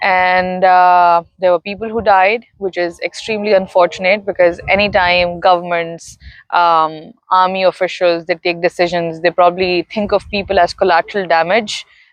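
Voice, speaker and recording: A woman speaks with a Pakistani accent at a moderate pace. Her medium pitch has monotone, flat intonation. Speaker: interviewee sharing personal story. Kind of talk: interview.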